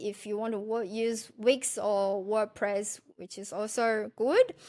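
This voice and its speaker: With a non-native accent, a woman talks at a fairly slow pace and a fairly high pitch. The recording is very clean, the background silent. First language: not English. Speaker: food blogger and podcast host. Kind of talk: casual tutorial monologue. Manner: halting, with self-corrections.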